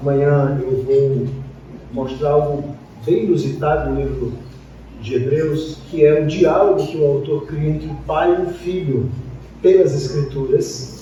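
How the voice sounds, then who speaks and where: A man with a fairly high pitch speaks with ordinary pitch variation. There is noticeable background noise and audible room echo. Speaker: pastor. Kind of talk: sermon. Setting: church.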